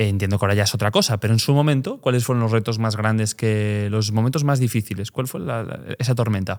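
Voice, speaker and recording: A man with a Galician accent speaks at medium pitch and a very fast pace, with hardly any pauses and ordinary pitch variation. The recording is very clean, with a silent background. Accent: Galician accent noticeable. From Galicia, Pontevedra. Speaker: podcast host. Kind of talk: podcast interview.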